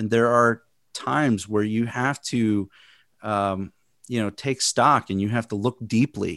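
In a very clean recording with a silent background, a man with an American accent speaks at a moderate pace in a dry, close sound with no echo. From Chicago, US Midwest. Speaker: podcast host, video producer. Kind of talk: casual interview. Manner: halting.

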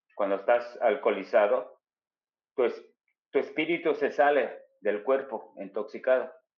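Talking at a fairly slow pace, a man leaves long, frequent pauses. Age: 50s. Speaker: spiritual healer guest. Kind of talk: personal testimony, casual storytelling. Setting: video call.

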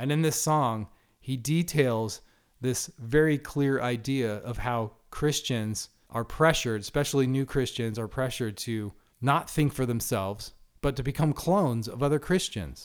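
A man speaks at medium pitch and a moderate pace, his pitch varying in an ordinary way. The recording is very clean, with a silent background. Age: 40s. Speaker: podcast host and Bible teacher. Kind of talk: solo podcast monologue. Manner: animated.

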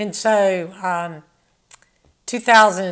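Here a woman speaks at medium pitch. Her intonation shows ordinary variation. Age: 60s. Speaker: former professional tennis player. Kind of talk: casual interview.

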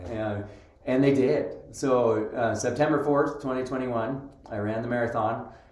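A medium-pitched man at a fairly slow pace with hardly any pauses and fairly even intonation, plus noticeable background noise and audible room echo. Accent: American. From Utah. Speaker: schoolteacher and suicide prevention advocate. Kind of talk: casual interview.

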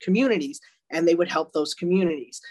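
A woman's fairly low voice in a Long Island accent. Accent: New York (Long Island). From Long Island, New York. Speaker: retired detective, author. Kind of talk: interview.

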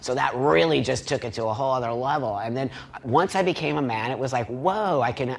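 Over noticeable background noise, a man talks at a fairly quick pace. His voice sits at a medium pitch with lively intonation. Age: 50s. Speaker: panel participant. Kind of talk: panel debate.

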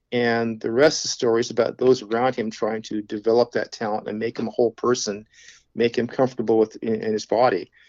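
A man talks at a very fast pace in a medium pitch. His intonation is flat and monotone. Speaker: author, arborist. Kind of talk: interview.

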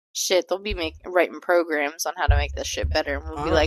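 A woman at a moderate pace in a dry, close sound with no echo. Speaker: podcast co-host. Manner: loud; loud, tends to yell into the mic.

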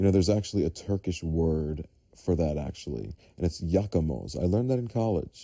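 Talking at a fairly quick pace, a man with an American accent has a very deep, low pitch, a dark, mellow tone and lively intonation. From New York City, Staten Island. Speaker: podcast host. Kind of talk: casual monologue.

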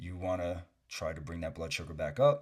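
The intonation is lively and somewhat breathy. The recording is very clean, with a silent background. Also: man. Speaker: fitness coach and podcast host. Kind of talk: solo Q&A podcast.

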